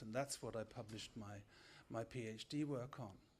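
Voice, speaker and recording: The speech moves at a fairly quick pace. Pitch variation is ordinary. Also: man. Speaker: media scholar, lecturer. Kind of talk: lecture. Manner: fast.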